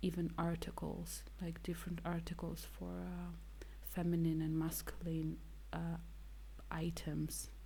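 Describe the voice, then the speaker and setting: The speech moves at a fairly slow pace. Audible room echo surrounds the voice. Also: woman. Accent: Russian. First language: Russian. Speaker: ASMR artist, podcast co-host. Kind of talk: casual chat. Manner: halting, many fillers.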